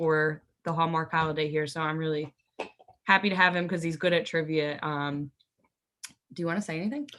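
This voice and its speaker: Loud and bright with a sharp tone, a woman's fairly low-pitched voice moves at a fairly quick pace with fairly even intonation. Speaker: game show contestant. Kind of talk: casual chat.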